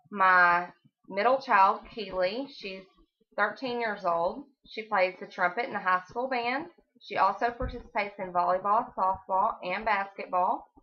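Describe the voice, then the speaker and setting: In an American accent, a woman of medium pitch talks at a fairly slow pace with ordinary pitch variation. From Texas. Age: 30s. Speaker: college student. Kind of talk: class speech.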